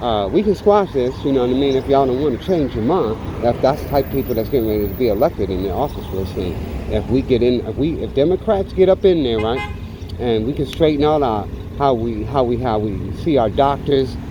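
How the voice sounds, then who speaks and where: Noticeable background noise is present. The talking goes at a fairly quick pace. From New York City, Bronx. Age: 60s. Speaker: vlogger and small business owner. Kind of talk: casual political rant while riding. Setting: on a motorcycle ride. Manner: halting, many fillers.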